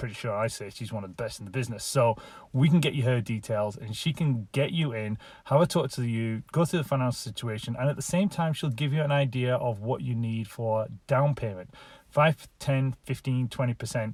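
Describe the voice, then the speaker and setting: A man with a northern English accent speaks at a fairly quick pace in a medium pitch, his somewhat breathy voice showing ordinary pitch variation on a very clean recording with a silent background. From England, Lancashire. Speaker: real estate agent. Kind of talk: casual talk to camera.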